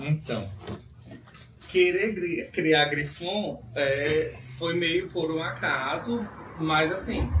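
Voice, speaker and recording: The speaker has a northeastern Brazilian accent and talks at a very slow pace with long, frequent pauses. The room echo is audible and the background noise is noticeable. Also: man, fairly high pitch for a man, ordinary pitch variation. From Brazil, Rio Grande do Norte (Northeast). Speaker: dog breeder and hairdresser. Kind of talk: interview.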